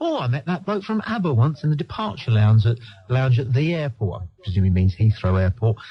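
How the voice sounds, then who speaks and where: A somewhat breathy man's voice with a dark, mellow tone. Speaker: radio talk show host. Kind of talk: radio phone-in talk show host. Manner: exasperated, sarcastic, dismissive.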